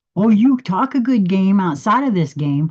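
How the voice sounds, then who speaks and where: A woman speaks in a somewhat breathy voice, swinging very widely in pitch. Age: 60s. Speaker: spiritual livestream host. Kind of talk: casual live monologue. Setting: livestream. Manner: halting.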